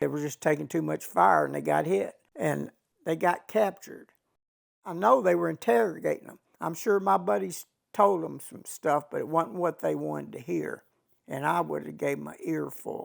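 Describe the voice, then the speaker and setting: Loudness swings widely as a man with a Texan accent talks at a moderate pace. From Texas, Fort Worth. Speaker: war veteran. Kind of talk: testimony.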